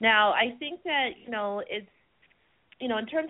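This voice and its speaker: A woman's plain, everyday voice, fairly high in pitch, with lively intonation. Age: 40s. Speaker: author and music critic. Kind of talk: interview.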